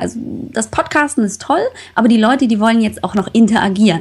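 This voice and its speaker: Against noticeable background noise, a woman speaks in an animated tone at a fairly high pitch. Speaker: health podcaster. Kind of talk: casual interview.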